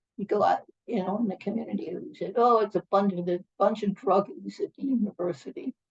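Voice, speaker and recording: The voice has a dark, mellow tone and sounds somewhat breathy. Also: woman, dry, close sound with no echo. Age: 80s+. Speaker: retired professor and union activist. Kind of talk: interview. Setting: home kitchen. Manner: halting.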